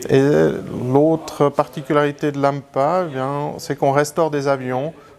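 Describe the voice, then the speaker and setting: Noticeable background noise sits under the recording. The man's intonation stays fairly even. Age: 40s. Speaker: aviation heritage association president. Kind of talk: interview. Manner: halting.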